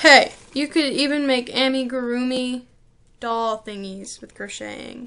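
A woman with a high pitch speaks at a fairly slow pace in a bright, sharp tone. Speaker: online video creator. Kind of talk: casual tutorial vlog. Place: home room. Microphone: webcam.

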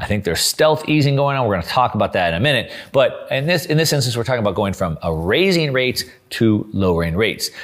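A man talks at a very fast pace with hardly any pauses and very wide pitch swings. The background is quiet. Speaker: finance commentator. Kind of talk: commentary. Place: studio.

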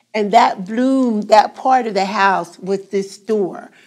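Speaking very slowly with a South Jersey accent, a woman uses a fairly high pitch and ordinary pitch variation. The background is quiet. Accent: South Jersey American English. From Glassboro, New Jersey. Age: 70s. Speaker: oral history interviewee. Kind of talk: oral history interview answer. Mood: warm, nostalgic. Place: classroom.

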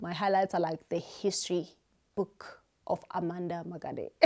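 The voice has a dark, mellow tone and moves at a fairly slow pace over a quiet background. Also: woman. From South Africa, Eastern Cape. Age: 30s. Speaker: YouTuber and beauty salon owner. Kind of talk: casual Q&A vlog. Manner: animated, energetic. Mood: cheerful, animated. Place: home room. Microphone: lapel.

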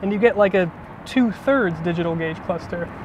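Very fast speech with ordinary pitch variation, a dry sound with no echo, and light background noise. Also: man. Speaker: car reviewer. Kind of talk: car review commentary. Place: street.

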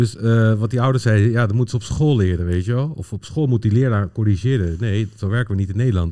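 A man with a dark, mellow tone and medium pitch talks at a very fast pace with hardly any pauses and ordinary pitch variation, over a quiet background. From Netherlands, Pakistani family. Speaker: football data analyst, former coach. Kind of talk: casual chat. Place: studio. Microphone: studio mic.

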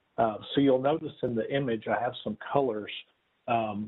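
A man's fairly slow, fairly even-toned speech against a quiet background. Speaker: presenter. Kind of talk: presentation to residents. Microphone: video call.

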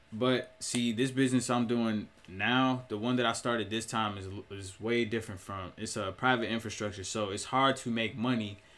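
Keeping a moderate pace, a man talks with fairly even intonation. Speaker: entrepreneur vlogger. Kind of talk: casual vlog chat. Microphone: webcam.

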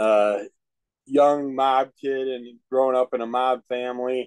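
The voice belongs to a man. Little else is heard behind him, as the background is quiet. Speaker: comic reviewer. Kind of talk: casual discussion on a video call. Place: home room. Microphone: webcam.

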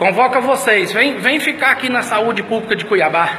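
Against light background noise, a man uses a raised, projected voice of extremely high pitch, with ordinary pitch variation at a moderate pace. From Mato Grosso, Brazil. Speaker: citizen filming a hospital. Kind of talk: angry selfie video rant. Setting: hospital emergency room corridor. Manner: loud; repetitive. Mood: outraged, insulting. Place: hall. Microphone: phone near.

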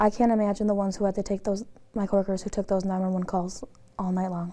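Very fast and monotone, with flat intonation, a woman talks at a medium pitch in a dark, mellow tone. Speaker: 911 dispatcher. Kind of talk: interview. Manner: calm. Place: home room.

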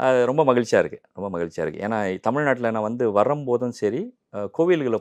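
A man's lively intonation against a quiet background. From Malaysia. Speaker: Tamil enthusiast; interview guest. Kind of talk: interview. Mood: warm, cheerful. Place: studio. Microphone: lapel.

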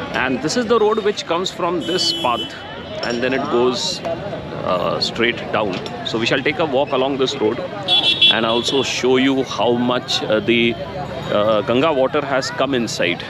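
A man speaks at a fairly slow pace, the sound dry with no echo, over loud background noise. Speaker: travel vlogger. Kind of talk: casual vlog commentary. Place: waterside. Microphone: phone near.

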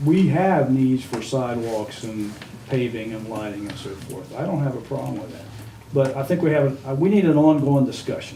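A man speaks at a moderate pace and medium pitch, with big swings in loudness. Audible room echo and noticeable background noise are present. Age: 70s. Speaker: city council member. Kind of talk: town hall meeting discussion. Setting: public meeting.

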